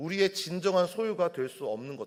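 This man's high-pitched voice swings very widely in pitch. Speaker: pastor. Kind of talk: sermon. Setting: church.

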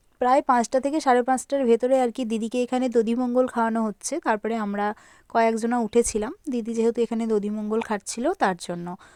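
A woman's fairly high-pitched voice in a dark, mellow tone with fairly even intonation, dry and close with no echo, on a very clean recording with a silent background. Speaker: lifestyle vlogger. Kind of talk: vlog voiceover narration.

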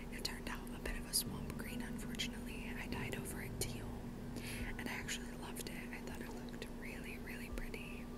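A whispered voice comes through noticeable background noise. The pace is fairly quick. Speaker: ASMR creator. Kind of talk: ASMR whispered ramble.

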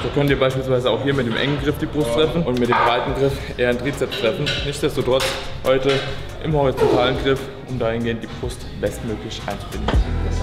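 The speech moves at a fairly quick pace. Loud music plays in the background. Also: man. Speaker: fitness coach. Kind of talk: tutorial. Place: gym.

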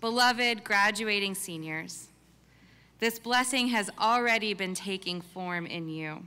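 Her bright, sharp tone comes at a fairly slow pace, with ordinary pitch variation, as a woman speaks. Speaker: multifaith chaplain. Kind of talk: benediction prayer at a graduation ceremony. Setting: stage with audience at commencement. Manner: solemn, measured, reverent. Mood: calm, solemn, warm. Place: stage. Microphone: podium.

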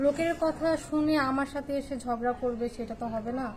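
Against noticeable background noise, a woman talks with a high pitch and fairly even intonation. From Noakhali, Bangladesh. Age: 20s. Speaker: woman seeking marriage. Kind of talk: interview. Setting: in front of a camera.

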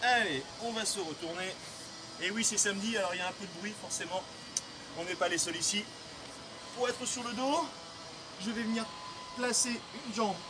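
At a moderate pace, a man uses a raised, projected voice with ordinary pitch variation and long, frequent pauses. Noticeable background noise runs underneath. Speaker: fitness coach. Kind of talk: guided stretching instruction. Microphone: camera far.

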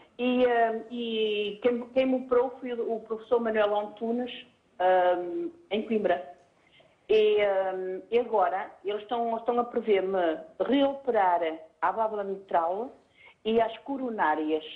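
A woman's very slow speech with long, frequent pauses and ordinary pitch variation. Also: fairly high pitch for a woman. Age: 60s. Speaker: caller. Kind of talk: call-in question. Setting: phone call.

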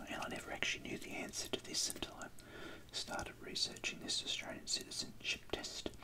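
Quiet, calm whispering at a fairly quick pace over noticeable background noise. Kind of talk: tutorial. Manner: quiet ASMR whisper, calm reading. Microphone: phone near.

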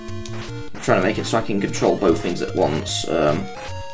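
Reading aloud in a natural-sounding voice.

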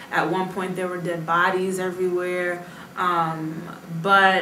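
With an American accent, a woman speaks in a flat monotone at a medium pitch, with audible room echo and light background noise. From United States. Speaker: Foreign Service officer; interviewee. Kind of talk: interview. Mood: calm, reflective. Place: home room.

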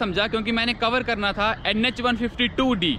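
A man raises and projects his voice at a moderate pace with fairly even intonation, the sound dry with no echo and noticeable background noise behind him. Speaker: travel vlogger. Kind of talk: casual vlog chat. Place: station. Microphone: phone near.

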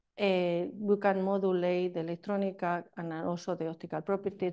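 Over a quiet background, a woman with a Spanish accent speaks at a moderate pace in a dark, mellow tone with monotone, flat intonation. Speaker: chemistry professor. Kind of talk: lecture. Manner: halting.

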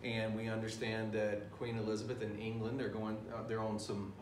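Noticeable background noise behind a man's speaking voice. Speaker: teacher. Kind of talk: lecture. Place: classroom. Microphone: camera far.

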